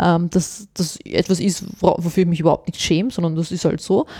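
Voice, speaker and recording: Recorded very cleanly against a silent background, a woman speaks with a non-native accent. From born abroad, grew up in Austria. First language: not German (speaking German). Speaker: journalist, former teacher. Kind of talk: interview.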